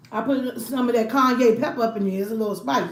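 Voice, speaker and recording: An American accent with very wide pitch swings and audible room echo. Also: woman. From Washington DC. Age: 40s. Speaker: food YouTuber. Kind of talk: casual mukbang livestream chat. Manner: animated.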